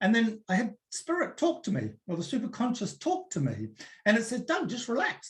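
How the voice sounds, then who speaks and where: A man with a New Zealand accent talks at a moderate pace, his pitch swinging very widely. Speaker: personal development coach. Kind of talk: webinar talk. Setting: online webinar. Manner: relaxed, conversational.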